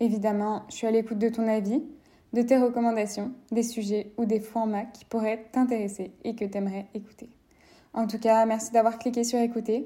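At a moderate pace, a woman with a fairly high, somewhat breathy voice and a dark, mellow tone speaks with monotone, flat intonation. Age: 20s. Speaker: podcast host. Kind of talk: casual monologue.

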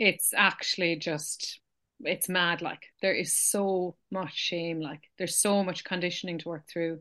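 A woman with an Irish accent speaks fairly slowly in a fairly low pitch, her tone bright and sharp and her intonation fairly even, over a quiet background. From Ireland. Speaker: podcast host. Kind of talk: casual chat.

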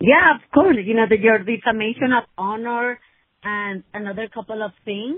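A woman with a Spanish accent, fairly high in pitch, ordinary pitch variation, big swings in loudness, and a moderate pace. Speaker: attorney. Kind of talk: casual chat. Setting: phone call.

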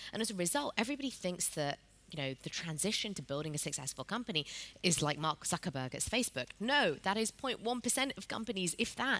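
A woman talks at a very fast pace in a bright, sharp tone. Her pitch swings very widely. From northern England, Pakistani family. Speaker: tech entrepreneur. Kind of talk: onstage conversation at a conference. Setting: stage with audience. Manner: hesitant with frequent ums.

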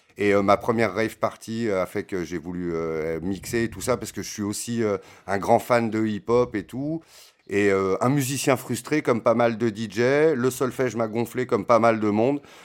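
With a medium pitch and ordinary pitch variation, a man speaks at a fairly slow pace. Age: 40s. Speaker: DJ. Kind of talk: casual interview. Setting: home studio. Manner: halting.

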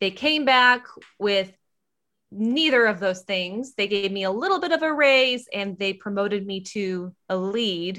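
A bright, sharp tone with an American accent and lively intonation at a fairly slow pace, on a very clean recording with a silent background. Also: woman, medium pitch for a woman. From US Midwest. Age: 30s. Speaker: podcast host and casting director. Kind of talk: casual chat.

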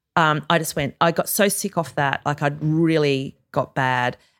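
A woman with an Australian accent and a very deep, low pitch, at a moderate pace with fairly even intonation, on a very clean recording with a silent background. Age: 40s. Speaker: author and former journalist. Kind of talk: interview conversation. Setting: studio.

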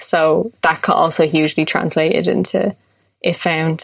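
A woman talks in a Dublin accent. Her pace is fairly slow. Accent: Dublin Irish. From Ireland (Dublin). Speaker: illustrator. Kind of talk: casual interview.

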